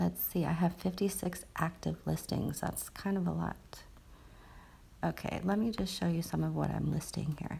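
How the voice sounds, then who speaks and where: A woman's whisper at a moderate pace. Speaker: social media marketer and online seller. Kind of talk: screen-share tutorial. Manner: whispering; casual, hesitant with fillers.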